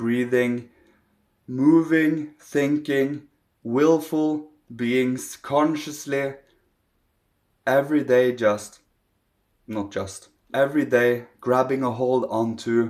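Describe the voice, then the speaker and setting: A man speaks very slowly with a non-native accent, his pitch medium. His intonation stays fairly even, broken by long, frequent pauses. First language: not English. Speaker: spiritual teacher. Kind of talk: spiritual talk to camera.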